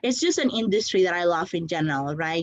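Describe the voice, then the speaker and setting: A woman speaks with a non-native accent. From outside the US, came at 17. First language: not English. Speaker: conference speaker, startup founder. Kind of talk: conference talk. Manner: energetic.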